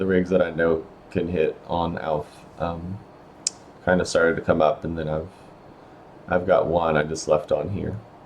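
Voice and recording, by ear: Putting on a character voice, a man speaks hoarsely at a very deep, low pitch and a moderate pace, flat and monotone, with long, frequent pauses.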